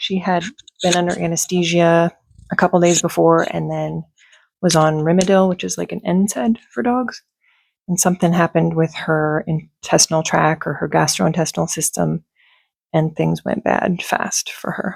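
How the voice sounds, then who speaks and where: A soft-spoken voice at a moderate pace on a very clean recording with a silent background. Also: woman, dry, close sound with no echo. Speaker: beauty and fragrance YouTuber. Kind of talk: casual vlog chat. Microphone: talking close into microphone.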